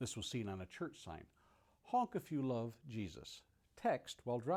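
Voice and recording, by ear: Natural-voiced reading aloud, full of lively intonation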